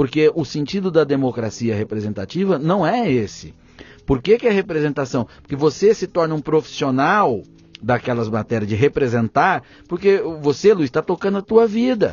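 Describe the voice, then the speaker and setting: A man with a fairly high pitch and very wide pitch swings at a moderate pace, with music in the background. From interior of São Paulo state, Brazil (Pontal do Paranapanema). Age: 30s. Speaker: journalist and federal congressman. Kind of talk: podcast interview. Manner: animated.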